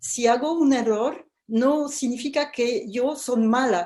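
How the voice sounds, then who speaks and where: A woman's high-pitched voice with a dark, mellow tone, very slow pace, and quiet background. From France (Paris). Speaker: educational publisher. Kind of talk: interview. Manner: halting, many fillers.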